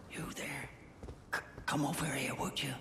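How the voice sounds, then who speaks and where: A put-on character voice at a moderate pace, with slight echo and clear background noise. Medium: game stream. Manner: hesitant, stammering.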